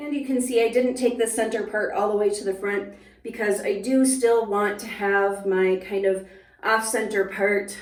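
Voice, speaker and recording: In an Upper Midwestern accent, a woman speaks at a moderate pace with a fairly high pitch and fairly even intonation. Audible room echo surrounds her voice. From US upper Midwest. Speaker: hairstylist and beauty YouTuber. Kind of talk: product review tutorial. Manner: casual, conversational.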